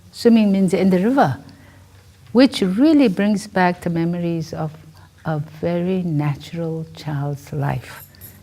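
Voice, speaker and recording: Very slowly, a woman speaks at a medium pitch with a dark, mellow tone and lively intonation. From Tibet. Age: 70s. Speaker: director of a nonprofit for nuns. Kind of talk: interview. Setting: filmed interview with students. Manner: halting, with repetitions and fillers.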